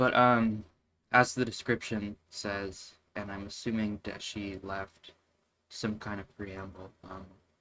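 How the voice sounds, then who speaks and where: In a very clean recording with a silent background, a quiet man speaks at a very slow pace, his loudness swinging widely. His fairly low voice has a bright, sharp tone and flat, monotone intonation. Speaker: game developer streamer. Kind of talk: casual live stream talk. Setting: live stream at computer. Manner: quiet, monotone; halting.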